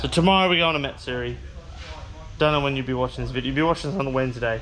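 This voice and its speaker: A man with an Australian accent speaks at a fairly high pitch with ordinary pitch variation, over noticeable background noise. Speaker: car vlogger. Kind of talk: casual vlog. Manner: casual, rambling.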